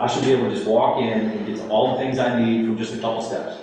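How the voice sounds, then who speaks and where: Noticeable background noise and audible room echo surround the recording. A man speaks at a medium pitch with ordinary pitch variation. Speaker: town staff presenting to council. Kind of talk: public meeting presentation. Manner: fast; casual, filler-heavy.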